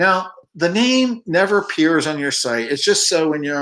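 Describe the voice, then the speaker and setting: A man is speaking at a moderate pace. His intonation is lively. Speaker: online course instructor. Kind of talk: screencast tutorial. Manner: hesitant with many fillers.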